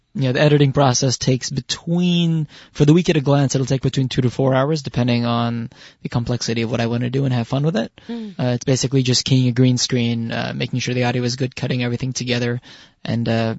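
The speech runs at a very fast pace and sounds somewhat breathy. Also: man, medium pitch for a man, fairly even intonation. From Israel. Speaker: college student camera operator and editor. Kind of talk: interview. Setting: radio studio. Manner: halting, repeats words.

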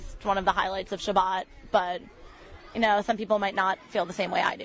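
A woman with an American accent, medium pitch and fairly even intonation at a fairly quick pace, crowd noise in the background. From Connecticut, West Hartford. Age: 18. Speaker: camp counselor. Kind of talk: interview conversation. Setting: at a summer camp.

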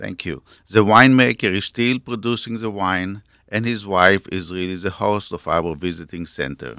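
A man with an Israeli accent talks at a moderate pace in a fairly low pitch with ordinary pitch variation and a bright, sharp tone. The recording is very clean, with a silent background. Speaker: winery owner. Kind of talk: interview.

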